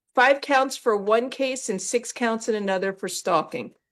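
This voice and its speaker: A woman with an ordinary speaking voice, fairly high in pitch, at a moderate pace with fairly even intonation, on a very clean recording with a silent background. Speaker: judge. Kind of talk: courtroom hearing. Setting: courtroom.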